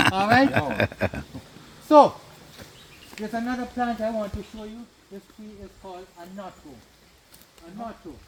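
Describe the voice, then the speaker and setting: Speech comes at a moderate pace with ordinary pitch variation and big swings in loudness. Long, frequent pauses break it up, and there is noticeable background noise. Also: man, high pitch for a man. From Jamaica, Annotto Bay, St Mary. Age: 60s. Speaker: tour guide. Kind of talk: guided tour talk. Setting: outdoors on a plantation. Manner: animated.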